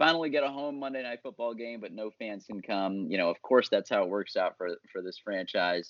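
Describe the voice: At a fairly quick pace, a man speaks with fairly low pitch and fairly even intonation, in a dry, close sound with no echo.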